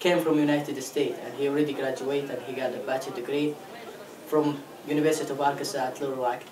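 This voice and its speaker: In an Arabic accent, a man with a fairly high voice talks at a very fast pace broken by long, frequent pauses, amid noticeable background noise and audible room echo. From Saudi Arabia. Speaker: international student. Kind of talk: interview.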